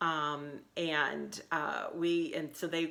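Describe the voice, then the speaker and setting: A woman's bright, sharp voice at a fairly low pitch. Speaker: cross-stitch designer and teacher. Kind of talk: casual video vlog. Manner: halting, many ums.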